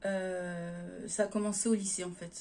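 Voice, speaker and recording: Dark, mellow, somewhat breathy female speech in a monotone, flat intonation. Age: 20s. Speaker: YouTuber. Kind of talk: casual chat.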